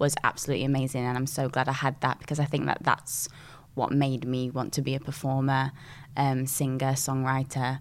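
A woman with a Yorkshire accent speaks with a very deep, low pitch and monotone, flat intonation. The recording is very clean, with a silent background. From northern England, Sheffield (Dinnington). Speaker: singer and dancer. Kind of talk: casual chat.

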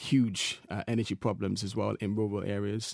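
A man with an English accent at a moderate pace, on a very clean recording with a silent background. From England. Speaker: social entrepreneur. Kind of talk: interview. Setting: studio.

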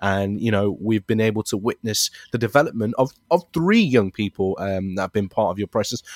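A man with an East Midlands accent talks at a fairly quick pace with hardly any pauses. His fairly low voice shows ordinary pitch variation. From Leicester, England. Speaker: youth charity worker and basketball presenter. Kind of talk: interview conversation.

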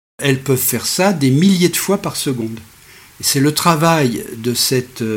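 Lively intonation marks this man's somewhat breathy voice. He talks at a fairly slow pace. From France, Savoie (Alps). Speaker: science podcaster and author. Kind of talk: lecture. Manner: measured, didactic.

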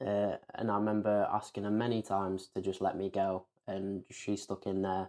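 Against a quiet background, a man speaks with a fairly low pitch. His tone is dark and mellow, his intonation monotone and flat. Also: moderate pace. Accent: English. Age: 20s. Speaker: author. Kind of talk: interview.

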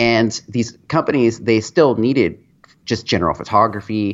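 A man talks at a medium pitch with ordinary pitch variation. He has a plain, everyday voice. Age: 30s. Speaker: time lapse photographer. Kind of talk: casual chat.

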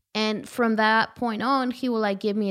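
A woman with a Spanish accent speaks at a moderate pace in a fairly high voice. The recording is very clean, with a silent background. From rural Guanajuato, Mexico. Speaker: visual artist. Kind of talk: casual interview chat.

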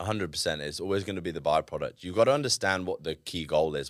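Southern English accent from a man, ordinary pitch variation, in a very clean recording with a silent background. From southern England (Reading, then Devon). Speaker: former Olympic weightlifter and entrepreneur. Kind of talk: casual interview. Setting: studio.

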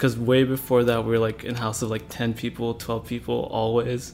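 Here a man talks at a moderate pace with an American accent. His pitch is medium. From Manila, Philippines, then Kentucky. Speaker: guest. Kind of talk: casual conversational interview. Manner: casual, uses filler words.

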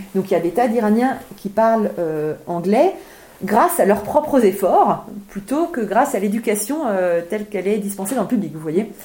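This woman has an unremarkable speaking voice, fairly high in pitch, with lively intonation at a moderate pace. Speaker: author. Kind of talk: book event talk.

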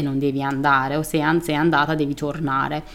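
Speaking with a Persian accent, a woman with a very deep, low voice keeps a moderate pace and fairly even intonation. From Iran. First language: Persian (speaking Italian). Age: 30s. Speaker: artist. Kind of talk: interview testimony.

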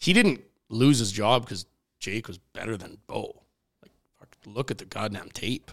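Speaking at medium pitch with a Canadian Prairies accent, a man uses ordinary pitch variation, takes long, frequent pauses, and swings widely in loudness. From Saskatchewan, Canada (Regina). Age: 30s. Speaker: professional curler. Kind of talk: casual chat. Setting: studio.

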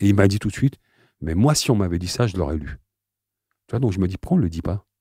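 This man has a very deep, low voice with a dark, mellow tone and ordinary pitch variation. The recording is very clean with a silent background, and the sound is dry and close with no echo. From France, Aubervilliers (Seine-Saint-Denis), Algerian family. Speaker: slam poet. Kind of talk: interview.

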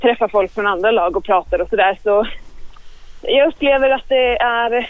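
A woman talks with very wide pitch swings. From Eskilstuna and Örebro area, Sweden. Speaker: sports management student. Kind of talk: interview.

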